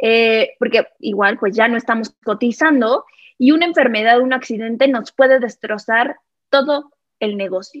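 A woman with an ordinary speaking voice talks at a moderate pace and a fairly high pitch with ordinary pitch variation, the sound dry and close with no echo. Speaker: financial advisor. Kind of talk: interview.

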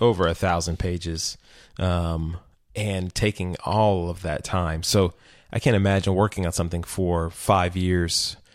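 A man's very deep, low voice in a Texan accent, fairly slow and monotone with flat intonation, in a very clean recording with a silent background. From Texas.

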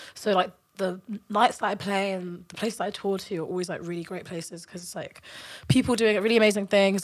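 A woman with a London accent speaks at a very fast pace in a medium pitch. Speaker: dance music artist, interviewed guest. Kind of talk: casual chat, podcast interview.

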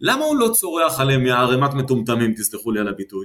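A man's voice with very wide pitch swings. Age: 50s. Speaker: business coach and retired army officer. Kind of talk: interview.

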